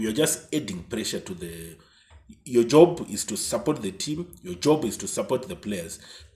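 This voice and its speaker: This man talks at a moderate pace in a somewhat breathy voice with very wide pitch swings. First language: not English. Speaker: football YouTuber. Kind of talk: casual commentary monologue. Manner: halting.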